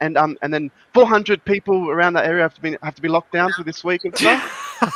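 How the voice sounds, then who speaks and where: A man talks at a very fast pace in an Australian accent, his pitch high. The sound is dry and close, with no echo. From Adelaide, South Australia. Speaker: patron caller on live show. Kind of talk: casual chat.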